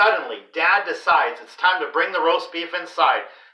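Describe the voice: Ordinary pitch variation in a plain read-aloud delivery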